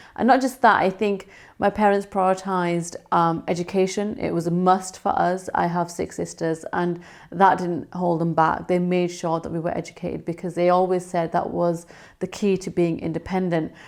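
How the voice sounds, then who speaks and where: A woman with a West Yorkshire accent speaks in a fairly low, flat monotone on a very clean recording with a silent background. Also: moderate pace. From northern England, Bradford. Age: 30s. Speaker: TV news reporter. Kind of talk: award nominee video testimony.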